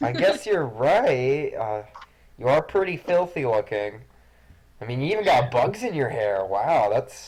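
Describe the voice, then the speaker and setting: A man performs a put-on character voice at a fairly high pitch. He speaks at a fairly slow pace. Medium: actual play.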